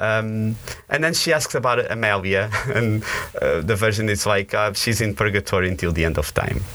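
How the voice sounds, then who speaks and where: A bright, sharp tone in a Portuguese accent, at a moderate pace with ordinary pitch variation and very even loudness. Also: man, fairly low pitch for a man. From northern Portugal, moved to US at 17. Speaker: campus minister. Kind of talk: interview conversation. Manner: animated; hesitant, with fillers and repetitions.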